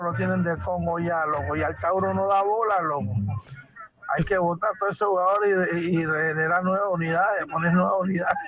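In a room with audible echo, a man talks at a fairly quick pace, his high-pitched voice fairly bright with fairly even intonation.

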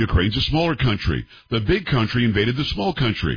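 A man speaks at medium pitch and a fairly quick pace. His voice has a husky, rough edge and big pitch swings.

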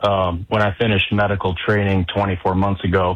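A man's low-pitched voice at a fairly quick pace, with little pitch movement.

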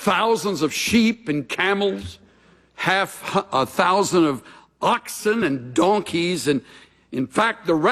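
Lively intonation in a natural voice reading text aloud

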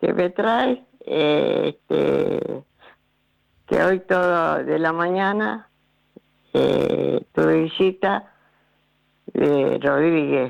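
A woman with a low voice speaks at a very slow pace, with vocal fry, a slightly mellow tone, ordinary pitch variation, and long, frequent pauses.

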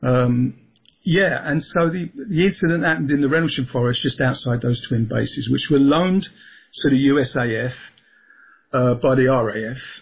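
This man speaks at a fairly slow pace and medium pitch, with a London accent and ordinary pitch variation. His voice has a slightly husky edge and vocal fry. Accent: southeast London.

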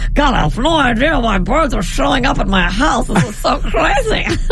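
A man uses a put-on character voice at a moderate pace. Loud background noise sits behind him. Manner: bewildered, amazed.

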